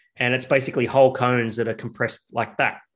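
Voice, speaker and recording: Against a quiet background, a man with an Australian accent speaks at a medium pitch. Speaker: craft beer podcast co-host, business owner. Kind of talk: casual chat. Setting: video call.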